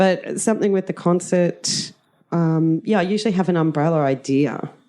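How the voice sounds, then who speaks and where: A woman with a dark, mellow tone and fairly low pitch speaks at a moderate pace with ordinary pitch variation. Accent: Australian. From rural Australia. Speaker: drama teacher. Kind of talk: interview. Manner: loud; energetic.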